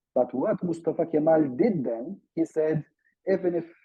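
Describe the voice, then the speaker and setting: With a Turkish accent, a man speaks at a fairly slow pace in a fairly high voice with ordinary pitch variation. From Turkey. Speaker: academic expert on Turkey. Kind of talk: seminar talk. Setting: video call. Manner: hesitant, frequent fillers.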